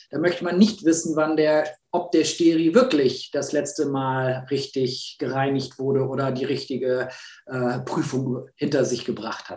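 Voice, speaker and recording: An unremarkable speaking voice talks at a fairly slow pace with ordinary pitch variation. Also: man, fairly high pitch for a man. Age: 40s. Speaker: media and communications expert, award founder. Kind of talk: interview.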